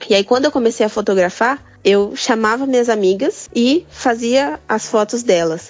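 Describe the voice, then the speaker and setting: Fairly high in pitch, a woman with an unremarkable speaking voice talks at a moderate pace with lively intonation and hardly any pauses. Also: very even loudness. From Brazil, interior of São Paulo state. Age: 20s. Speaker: photographer and design student. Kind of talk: casual interview chat.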